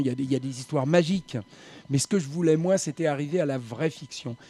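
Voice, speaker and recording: This man has a dark, mellow tone and a fairly high pitch. He talks at a fairly quick pace with ordinary pitch variation. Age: 70s. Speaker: writer and former racing journalist. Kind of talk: radio interview.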